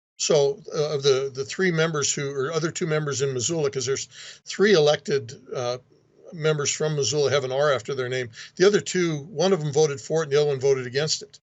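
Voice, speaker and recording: At a very fast pace, a man speaks with a fairly high pitch, a somewhat breathy sound and ordinary pitch variation. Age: 60s. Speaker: state legislator. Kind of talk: interview.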